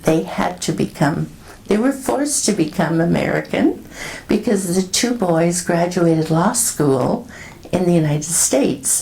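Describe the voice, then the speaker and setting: A woman's fairly low voice with lively intonation, at a fairly slow pace, very even in loudness, over noticeable background noise. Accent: Canadian. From Canada (Northern Ontario, Toronto). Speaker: retired public health nurse. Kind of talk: oral history interview answer.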